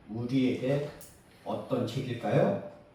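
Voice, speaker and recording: Against noticeable background noise and audible room echo, a man talks at a very slow pace. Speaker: preacher. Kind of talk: sermon.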